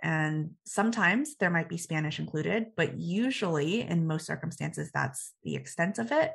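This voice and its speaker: A woman with an American accent speaks at a fairly low pitch with vocal fry. Her pace is moderate. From Texas (Dallas suburbs). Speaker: startup founder. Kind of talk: interview. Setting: studio.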